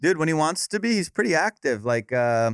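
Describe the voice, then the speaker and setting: In a Southern California accent, a man speaks at a very fast pace, the recording very clean with a silent background and a dry, close sound with no echo. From Orange County, California. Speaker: comedian. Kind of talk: casual chat. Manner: animated.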